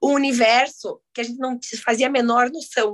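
A woman speaks in a high voice with flat, monotone intonation. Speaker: photographer. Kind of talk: casual chat.

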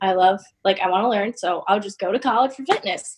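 A woman with an American accent talks at a fairly quick pace in an unremarkable speaking voice. Her pitch is fairly high and her intonation fairly even. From western Massachusetts (Westfield, small town). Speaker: online fitness coach. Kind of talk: casual interview chat.

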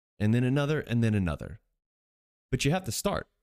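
Speaking at a very fast pace and medium pitch, a man is heard on a very clean recording with a silent background. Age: 20s. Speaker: fitness podcast host. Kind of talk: solo podcast monologue. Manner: casual, with fillers and restarts.

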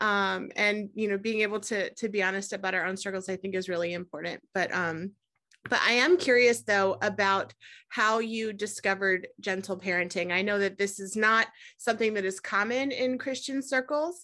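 The voice has a bright, sharp tone, a moderate pace and ordinary pitch variation, recorded against a quiet background. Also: woman, medium pitch for a woman. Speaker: podcast host. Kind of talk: podcast interview intro and chat.

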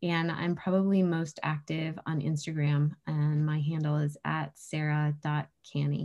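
A woman's very deep, low voice with a dark, mellow tone, in an American accent, monotone and flat, at very even loudness with hardly any pauses. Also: fairly slow pace. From New Hampshire, US. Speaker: running retreat founder and snowshoe racer. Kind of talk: casual interview.

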